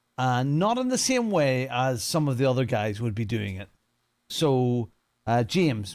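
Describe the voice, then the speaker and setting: With a Northern Irish accent, a man talks at a moderate pace. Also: very clean recording, silent background. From Northern Ireland. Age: 50s. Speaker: sim racing streamer. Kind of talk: casual livestream commentary. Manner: casual, chatty.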